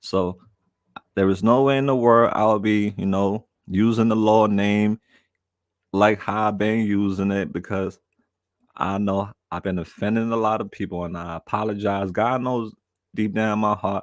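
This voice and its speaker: In a very clean recording with a silent background, a man with a New York accent speaks at a fairly low pitch in a monotone, flat intonation, leaving long, frequent pauses. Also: moderate pace. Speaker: live streamer. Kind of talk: casual chat. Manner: repetitive, halting starts.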